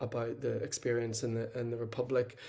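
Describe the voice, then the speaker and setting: A man speaks with a Northern Irish accent. His voice is somewhat breathy and his pace fairly quick. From Northern Ireland. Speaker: social work lecturer. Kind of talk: conference presentation.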